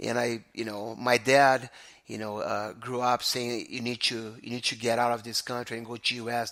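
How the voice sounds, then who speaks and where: A man speaks in a Brazilian Portuguese accent with a bright, sharp tone and medium pitch. His intonation is flat and monotone, at a moderate pace with hardly any pauses. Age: 40s. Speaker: jiu-jitsu school owner. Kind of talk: interview. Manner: halting.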